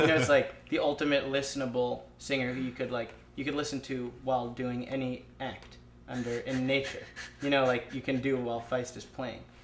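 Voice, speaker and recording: A man's flat, monotone delivery over noticeable background noise. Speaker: lead singer of an indie rock band. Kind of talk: casual interview. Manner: fast, filler-heavy.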